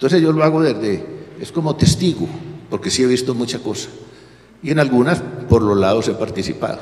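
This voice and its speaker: Against noticeable background noise, a man speaks at a fairly quick pace with very wide pitch swings. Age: 80s+. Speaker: author and former professor. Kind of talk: panel talk at a history festival. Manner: halting, with false starts.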